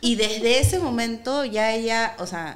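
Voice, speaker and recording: Music plays in the background, and audible room echo surrounds a woman's voice. She speaks at a fairly high pitch with ordinary pitch variation. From Peru. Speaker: actress and activist. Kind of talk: casual chat. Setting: studio.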